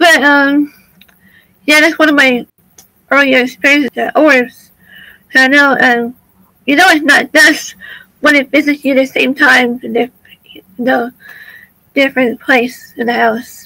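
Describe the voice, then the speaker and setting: A woman's raised, projected, high-pitched voice at a fairly slow pace, with fairly even intonation, big swings in loudness and long, frequent pauses. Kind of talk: casual interview chat.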